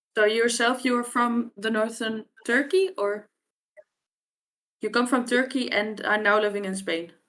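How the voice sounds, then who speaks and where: Speaking in a Frisian accent, a woman with fairly high pitch and ordinary pitch variation talks at a fairly slow pace with long, frequent pauses. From Friesland, Netherlands. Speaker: language researcher and curriculum developer. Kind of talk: podcast conversation.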